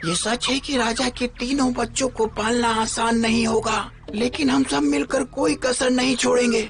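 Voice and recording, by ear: A female-sounding cartoonish character voice, fairly high in pitch, runs at a moderate pace with hardly any pauses over clear background noise.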